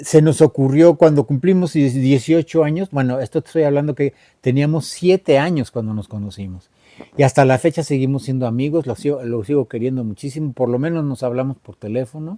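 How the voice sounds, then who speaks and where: With a dark, mellow tone and fairly high pitch showing ordinary variation, a man talks at a fairly quick pace with big swings in loudness, the sound dry and close with no echo. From Mexico City. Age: 70s. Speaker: rock musician. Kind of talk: interview. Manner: casual.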